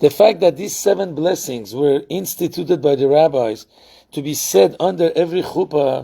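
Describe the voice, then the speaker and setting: Dark, mellow tone with vocal fry, lively intonation and a moderate pace. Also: man, fairly high pitch for a man. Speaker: rabbi. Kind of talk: lecture. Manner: conversational, with fillers.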